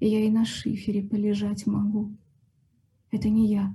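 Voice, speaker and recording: This woman's voice has a fairly high pitch, a dark, mellow tone and a somewhat breathy quality. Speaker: poet reading aloud. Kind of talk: poetry reading in a patient's voice, a stark first-person monologue.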